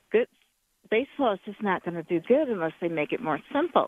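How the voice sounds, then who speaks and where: The speaker is a woman. Her pitch rises and falls in very wide swings. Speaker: caller. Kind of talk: call-in sports chat. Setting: phone call.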